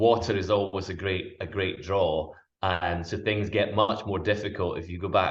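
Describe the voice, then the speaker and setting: A somewhat breathy man with a Scottish accent, fairly low in pitch, at a moderate pace with fairly even intonation. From Scotland. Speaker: wildlife cameraman and presenter. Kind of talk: interview answer.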